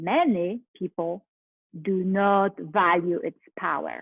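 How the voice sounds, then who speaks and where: This is a woman speaking. She goes at a very slow pace. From Poland. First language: Polish. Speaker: life coach. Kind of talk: motivational talk.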